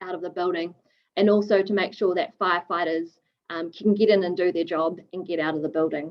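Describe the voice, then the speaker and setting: A woman with a New Zealand accent, medium pitch, fairly even intonation and a fairly quick pace. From New Zealand, Wellington. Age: 20s. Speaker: fire engineer. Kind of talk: webinar presentation. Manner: casual, hesitant with many fillers.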